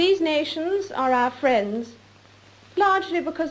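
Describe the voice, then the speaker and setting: A woman's voice at a fairly slow pace, with very wide pitch swings and noticeable background noise. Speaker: monarch. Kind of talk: formal televised Christmas address. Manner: measured, formal.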